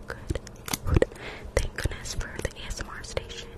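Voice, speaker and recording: Whispering at a moderate pace, a woman speaks. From Nevada, US. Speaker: ASMR streamer. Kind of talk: ASMR roleplay livestream. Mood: playful, amused. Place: home room. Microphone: studio mic.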